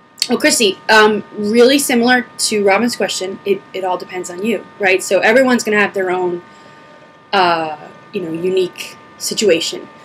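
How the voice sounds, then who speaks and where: A woman at a medium pitch and moderate pace, ordinary pitch variation, noticeable background noise. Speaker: video blogger. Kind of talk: casual q&a vlog. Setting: home video recording, camera on pedestal. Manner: huffing and puffing.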